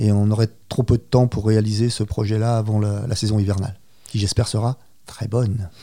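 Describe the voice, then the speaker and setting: On a very clean recording with a silent background, a man speaks in a fairly low, dark, mellow voice with monotone, flat intonation. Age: 50s. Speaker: cheesemonger. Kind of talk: interview.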